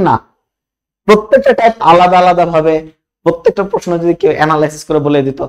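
A man talks in a high pitch with lively intonation. The sound is dry and close, with no echo. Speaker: chemistry admission coach. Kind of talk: tutorial with sales pitch. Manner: animated.

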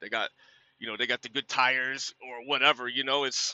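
A man at a fairly quick pace, dry and without echo. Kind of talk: casual vlog chat. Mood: relaxed, friendly, cautionary. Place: car. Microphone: phone near.

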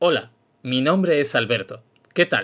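A man puts on a robotic character voice with a fairly high pitch, delivered at a moderate pace. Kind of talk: formal.

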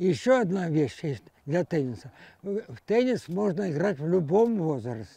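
The dry, echo-free recording carries a man's dark, mellow tone at a high pitch with very wide pitch swings. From Ukraine. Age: 80s+. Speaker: amateur tennis player. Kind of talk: interview; interview answer. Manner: halting. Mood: warm, hopeful. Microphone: lapel.

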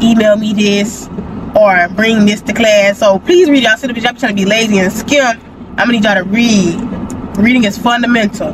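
Over noticeable background noise, a woman talks fairly quickly with ordinary pitch variation in a dry sound with no echo. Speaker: college student vlogger. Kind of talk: casual vlog chat. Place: car.

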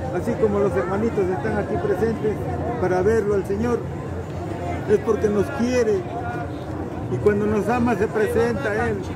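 Against loud background noise, a man speaks at a moderate pace with long, frequent pauses, in a dry sound with no echo. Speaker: pilgrim. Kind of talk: interview answer. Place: street. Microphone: phone near.

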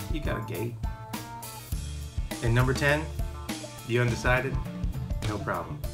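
A man at a moderate pace over clear background music. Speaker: realtor. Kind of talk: casual real estate walkthrough to camera. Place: garden. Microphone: phone near.

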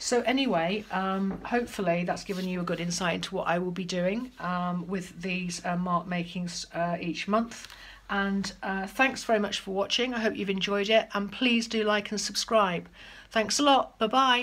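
A woman talks at a moderate pace, her pitch moving in an ordinary way. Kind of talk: casual tutorial chat. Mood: calm, reflective. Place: home room. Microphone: phone near.

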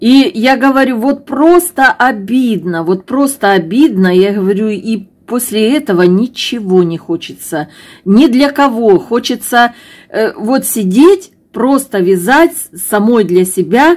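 A woman with a southern Russian accent, fairly high-pitched, at a very slow pace against a quiet background. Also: lively intonation. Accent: southern Russian fricative g. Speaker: knitting vlogger. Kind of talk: emotional vlog monologue. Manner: hesitant, many filler sounds. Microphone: phone near.

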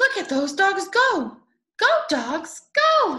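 A woman speaks at an extremely high pitch with a bright, sharp tone. Her delivery is slow, with big pitch swings.

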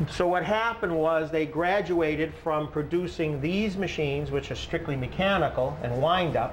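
A man talks at a fairly slow pace with fairly high pitch. His pitch variation is ordinary.

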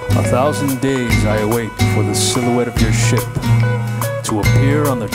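Background noise is loud throughout. A man does the talking. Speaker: poet. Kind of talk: spoken word poetry over music. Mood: dark, solemn, romantic. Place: studio. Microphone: studio mic.

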